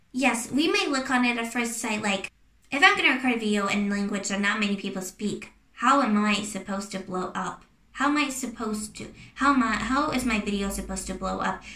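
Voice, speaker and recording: A woman's fairly high voice at a fairly quick pace with ordinary pitch variation, amid audible room echo and noticeable background noise. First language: not English. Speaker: YouTuber. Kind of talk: casual advice talk to camera. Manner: hesitant, many fillers and restarts.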